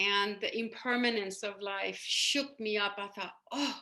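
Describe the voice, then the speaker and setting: The voice has a bright, sharp tone, a Persian accent and fairly even intonation. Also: woman. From Iran. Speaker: spiritual coach and hypnotherapist. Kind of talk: podcast interview. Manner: hesitant, many fillers.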